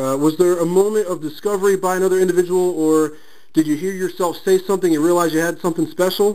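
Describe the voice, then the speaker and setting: Very fast speech comes from a man with a high pitch. His tone is dark and mellow, with fairly even intonation. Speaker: sports blogger, interviewer. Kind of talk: phone interview questions.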